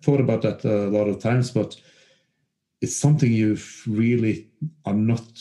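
In a Norwegian accent, the voice carries a dark, mellow tone and ordinary pitch variation. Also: man. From western Norway. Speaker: former footballer and novelist. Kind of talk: interview. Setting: remote call. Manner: halting.

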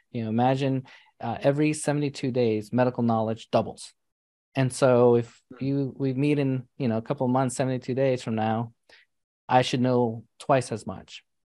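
Over a quiet background, a man talks fairly quickly at a medium pitch in a dark, mellow tone. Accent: American. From US Northeast (New York City). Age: 40s. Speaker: physician and entrepreneur. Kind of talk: interview. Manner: animated.

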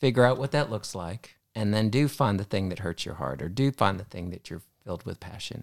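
A man with an ordinary speaking voice talks at a fairly quick pace in a fairly low pitch, with lively intonation and big swings in loudness, recorded with a dry, close sound and no echo. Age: 60s. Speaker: hospital pharmacist and mentor. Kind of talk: casual chat.

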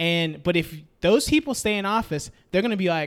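A man with a high-pitched voice. His intonation is lively. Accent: American. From Memphis, Tennessee, US South. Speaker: friend of the host. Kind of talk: casual chat.

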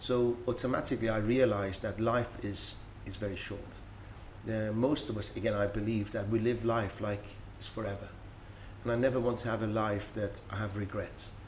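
A man speaks at a moderate pace in a fairly low pitch. His intonation is monotone and flat, with a Persian accent. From Iran. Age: 50s. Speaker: business speaker and consultant. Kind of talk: interview conversation.

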